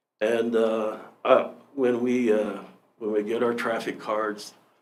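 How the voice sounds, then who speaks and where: A man speaks at medium pitch in a flat monotone, at a fairly slow pace. Audible room echo surrounds his voice. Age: 60s. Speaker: public commenter, volunteer firefighter. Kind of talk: public comment at council meeting. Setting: county commission meeting room. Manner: halting, many fillers and restarts.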